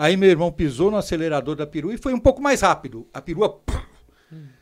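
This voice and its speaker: This man's voice is fairly high, and he talks at a fairly quick pace. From Brazil. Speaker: podiatry teacher. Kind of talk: interview. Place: studio. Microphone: studio mic.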